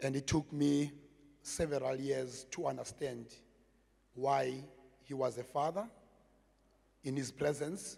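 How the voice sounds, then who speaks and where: In a South African accent, a man speaks at a fairly slow pace in a medium pitch with fairly even intonation. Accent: South African (Xhosa) English. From South Africa, Cape Town (Gugulethu). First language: Xhosa. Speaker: community project manager, former gangster. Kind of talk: public talk. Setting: stage with audience.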